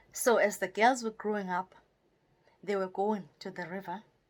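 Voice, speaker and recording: A woman's medium-pitched voice with a South African accent. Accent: South African (Xhosa). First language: Xhosa. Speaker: storyteller and poet. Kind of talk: oral folk storytelling.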